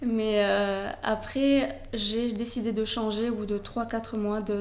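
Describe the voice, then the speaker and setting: With audible room echo, a woman speaks in a fairly high, monotone voice with flat intonation. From southern France, Toulouse. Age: 20s. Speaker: blogger, expat. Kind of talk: interview. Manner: hesitant, many fillers.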